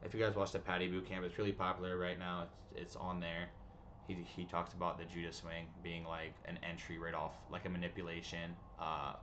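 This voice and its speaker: A man's very deep, low voice, fairly quick and monotone with flat intonation, with audible room echo. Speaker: day trading streamer. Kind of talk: live trading stream chat. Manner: fast; casual, filler-heavy.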